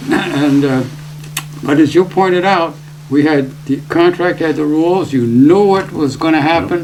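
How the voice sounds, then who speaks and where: Fairly even intonation at a fairly slow pace, with audible room echo and noticeable background noise. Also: man, fairly high pitch for a man. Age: 80s+. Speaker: retired broadcast engineer. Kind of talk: interview. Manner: halting.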